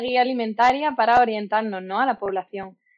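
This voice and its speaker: A woman talks with a high voice. Her pitch varies in an ordinary way. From southern Spain, Málaga. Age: 20s. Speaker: dietitian-nutritionist. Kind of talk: interview. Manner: hesitant, many fillers.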